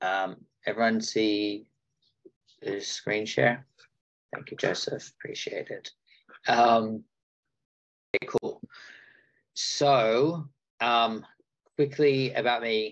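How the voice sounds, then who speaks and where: Speaking with an Australian accent at a very slow pace, a man leaves long, frequent pauses and his loudness swings widely. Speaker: agency founder and workshop presenter. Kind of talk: webinar presentation.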